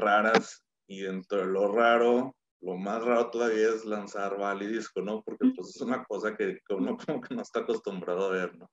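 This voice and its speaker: A man speaks at a moderate pace with a Mexican accent and a medium pitch. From Mexico, Torreón. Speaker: business consultant and former athlete. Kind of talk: casual interview.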